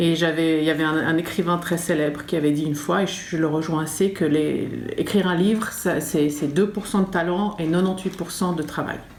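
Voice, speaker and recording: Noticeable background noise and audible room echo fill the recording. A woman with a fairly low pitch speaks at a moderate pace with fairly even intonation. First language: not French (French is third language) (speaking French). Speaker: writer and art teacher. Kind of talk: interview monologue. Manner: halting, many hesitations.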